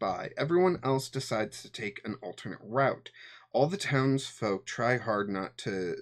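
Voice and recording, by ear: This is someone reading aloud in a natural voice. The delivery stays natural throughout.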